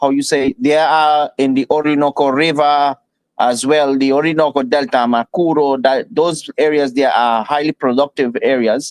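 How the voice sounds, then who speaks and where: A man speaks with a Spanish accent at a fairly high pitch. The sound is dry and close, with no echo. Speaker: oil industry expert. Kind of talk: panel discussion. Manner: halting.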